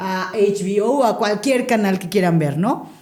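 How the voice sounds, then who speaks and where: There is audible room echo as a woman with a dark, mellow tone speaks at medium pitch and a fairly slow pace, with ordinary pitch variation. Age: 40s. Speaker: radio broadcaster. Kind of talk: podcast interview.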